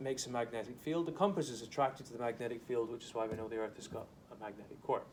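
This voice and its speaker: A man at a medium pitch and very fast pace, big swings in loudness, audible room echo and noticeable background noise. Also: ordinary pitch variation. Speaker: school science teacher. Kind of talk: classroom lecture. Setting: classroom with students. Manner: casual, slightly rambling explanations.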